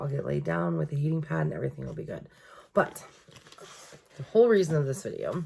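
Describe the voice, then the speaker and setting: The speech moves very fast yet has long, frequent pauses. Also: woman. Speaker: journaling vlogger. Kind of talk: casual chat.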